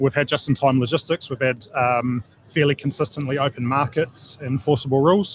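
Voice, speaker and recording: A man with a New Zealand accent speaks at a fairly high pitch and a fairly quick pace, his intonation fairly even and hardly any pauses in between. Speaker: geopolitical and security consultant, former army officer. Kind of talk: radio interview. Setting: live broadcast at field days. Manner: hesitant with many fillers.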